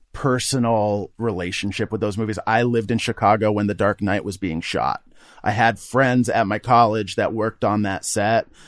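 A man with an American accent has an unremarkable speaking voice, fairly low in pitch. He speaks at a moderate pace with fairly even intonation on a very clean recording with a silent background. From Vermont, US (Burlington). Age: 30s. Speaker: podcast co-host, film fan. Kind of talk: casual chat.

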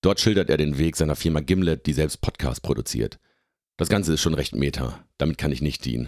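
The voice has vocal fry and ordinary pitch variation, moving at a fairly quick pace. The sound is dry and close, with no echo. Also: man, very deep, low pitch for a man. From northwestern Germany, Oldenburger Münsterland (Lower Saxony). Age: 30s. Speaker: software developer and podcaster. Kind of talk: scripted narration.

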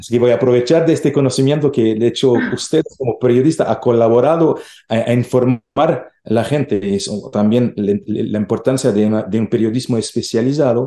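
Here a man talks at a fairly quick pace with a medium pitch. His tone is dark and mellow, with ordinary pitch variation. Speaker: research centre director. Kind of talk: interview. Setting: remote call. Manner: halting.

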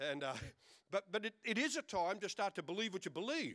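In a raised, projected voice with a bright, sharp and playful tone, a man with an Australian accent speaks at a moderate pace, his pitch swinging very widely. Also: dry, close sound with no echo. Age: 60s. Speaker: pastor. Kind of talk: lively, joking Pentecostal-style church sermon with audience call-and-response. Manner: punctuated by laughter, playful bantering delivery.

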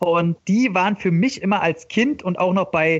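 Speaking at a fairly slow pace, a man uses lively intonation and a high pitch. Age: 30s. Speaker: podcast co-host. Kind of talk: casual chat.

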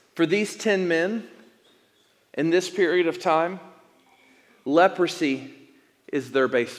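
Speaking very slowly with long, frequent pauses, a man with an American accent uses a high pitch and ordinary pitch variation. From East Tennessee. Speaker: pastor. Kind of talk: sermon. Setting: church.

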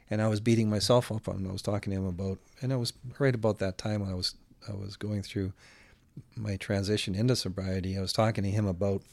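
Speaking with a Western Canadian accent, a man talks at a fairly quick pace and a fairly low pitch. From Alberta, Canada. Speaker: singer-songwriter. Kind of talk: casual chat.

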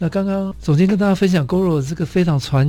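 A man's voice has a dark, mellow tone and sounds somewhat breathy. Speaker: radio host and design institute head. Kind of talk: radio interview.

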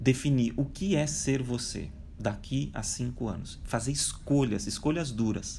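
A man's medium-pitched, dark, mellow voice with vocal fry and ordinary pitch variation, at a fairly slow pace, with audible room echo. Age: 40s. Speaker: digital transformation speaker and author. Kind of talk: interview.

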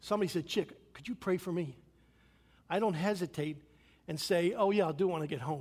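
A man with a high pitch speaks in an American accent, using ordinary pitch variation. His pauses are long and frequent. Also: fairly quick pace. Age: 60s. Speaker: pastor. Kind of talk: sermon. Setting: church.

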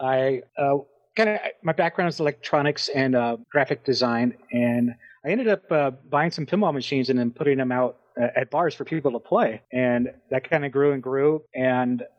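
At a moderate pace, a man talks in an unremarkable speaking voice. His pitch is fairly high, with ordinary pitch variation. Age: 40s. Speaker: pinball designer and champion. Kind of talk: casual chat.

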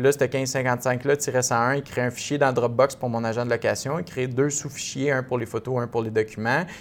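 At a moderate pace, a man talks in an unremarkable speaking voice of medium pitch with fairly even intonation. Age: 30s. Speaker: real estate investor. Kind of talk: casual interview.

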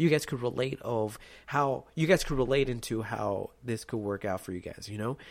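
A man at medium pitch, lively in intonation, at a moderate pace, in a very clean recording with a silent background. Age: 20s. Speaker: podcast host, Navy veteran. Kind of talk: casual solo monologue.

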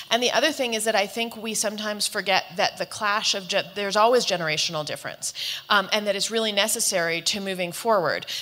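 A woman's medium-pitched, bright, sharp voice at a very fast pace, with ordinary pitch variation. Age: 40s. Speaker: author and panelist. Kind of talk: panel discussion.

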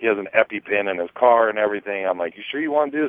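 This is a plain, everyday voice. The pitch varies in an ordinary way. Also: man. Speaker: podcast co-host. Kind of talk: casual chat.

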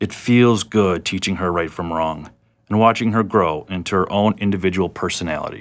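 An American accent at a moderate pace with ordinary pitch variation, in a very clean recording with a silent background. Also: man, very deep, low pitch for a man. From South Florida. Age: 20s. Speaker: reentry program participant. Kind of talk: reading aloud.

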